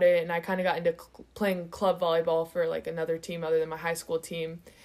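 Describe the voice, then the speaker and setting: A fairly low-pitched woman's voice with an American accent. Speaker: college volleyball player. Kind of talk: interview. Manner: casual, filler-heavy.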